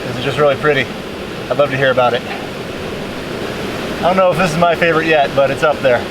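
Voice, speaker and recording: Through audible room echo and noticeable background noise, a man with an American accent speaks with a fairly high pitch and fairly even intonation. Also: fairly quick pace. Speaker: kayak adventure vlogger. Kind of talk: casual vlog narration. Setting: outdoors by a waterfall.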